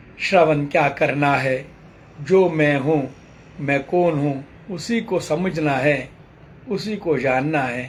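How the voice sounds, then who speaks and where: Audible room echo surrounds a man who speaks at a very slow pace with a fairly high pitch. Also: ordinary pitch variation. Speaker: spiritual teacher. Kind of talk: sermon.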